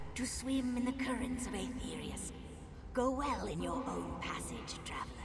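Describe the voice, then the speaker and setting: A put-on character voice at a moderate pace, with clear echo and loud background noise. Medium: machinima. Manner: slow, solemn.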